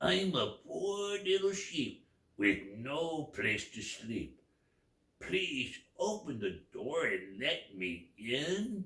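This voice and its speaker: A man's put-on character voice, fairly high in pitch, very slow, with very wide pitch swings. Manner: feigning innocence, pleading.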